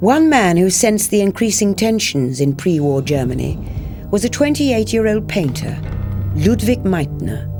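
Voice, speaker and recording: Over music in the background, a woman speaks at a moderate pace with very even loudness. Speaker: actress. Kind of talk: documentary narration.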